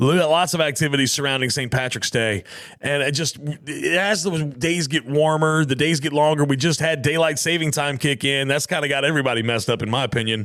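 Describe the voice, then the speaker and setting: Speaking with a Southern US accent, a man talks at a fairly quick pace, his fairly high pitch showing ordinary variation. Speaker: podcast host. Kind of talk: casual podcast outro. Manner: casual, conversational.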